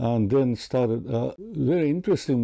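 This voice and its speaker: Speaking with a Japanese accent in a dark, mellow tone, the voice keeps a moderate pace and lively intonation. The recording is very clean, with a silent background. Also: man. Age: 90s. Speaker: peace activist and writer. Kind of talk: interview. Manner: halting.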